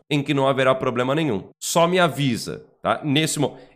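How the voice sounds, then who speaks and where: Animated in tone, a man with a fairly high voice talks at a fairly quick pace with ordinary pitch variation. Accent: Brazilian. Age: 40s. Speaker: Umbanda teacher and YouTuber. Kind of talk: online lesson.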